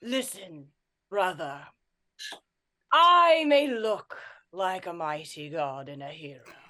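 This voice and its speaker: In a put-on character voice, a female-sounding voice of medium pitch moves slowly with very wide pitch swings and long, frequent pauses. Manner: grand, heroic.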